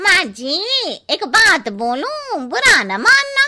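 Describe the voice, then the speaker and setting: A woman's cartoonish character voice, extremely high-pitched, with very wide pitch swings, at a very slow pace. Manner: blunt, chatty.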